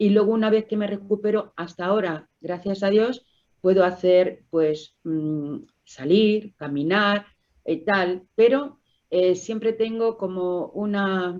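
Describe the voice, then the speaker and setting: A woman talks at a very slow pace with a medium pitch and ordinary pitch variation. The background is quiet. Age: 60s. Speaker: COPD patient. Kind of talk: testimony.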